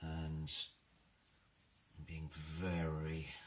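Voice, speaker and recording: A quiet man's voice with very deep, low pitch and monotone, flat intonation. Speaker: maker and crafting YouTuber. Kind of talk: crafting tutorial.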